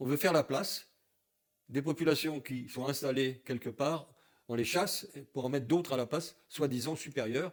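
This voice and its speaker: The speaker is a man with a fairly high pitch and ordinary pitch variation. His pace is moderate. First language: German (speaking French). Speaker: Holocaust survivor, activist. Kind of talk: interview.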